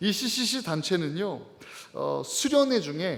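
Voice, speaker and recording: There is audible room echo as a man talks at a very slow pace. His pitch swings very widely. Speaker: pastor. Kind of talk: sermon. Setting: church. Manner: call-and-response, raising voice; hesitant fillers.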